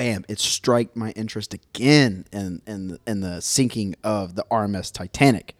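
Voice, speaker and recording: With an American accent, a man in an ordinary speaking voice talks at a moderate pace and fairly low pitch, the sound dry and close with no echo in a very clean recording with a silent background. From Texas. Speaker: podcast host. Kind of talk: casual chat.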